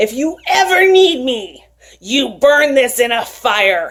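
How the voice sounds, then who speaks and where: A woman puts on a character voice with a high pitch. She speaks fairly slowly with very wide pitch swings. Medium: read story. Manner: imperious, demanding.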